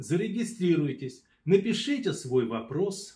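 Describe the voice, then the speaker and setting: At a very slow pace, a man speaks with high pitch and very wide pitch swings. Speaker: yoga teacher. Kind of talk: promotional announcement.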